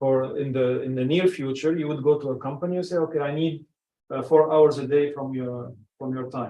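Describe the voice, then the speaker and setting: A man speaks with an Arabic accent. His pitch is fairly high and his intonation fairly even. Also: fairly quick pace. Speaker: personal branding coach. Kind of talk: casual group discussion. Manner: halting, with many restarts.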